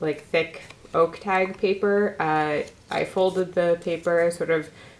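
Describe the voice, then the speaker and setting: Noticeable background noise sits behind a woman whose fairly low voice keeps a fairly even intonation. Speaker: glass artist. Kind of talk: tutorial. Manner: casual with fillers.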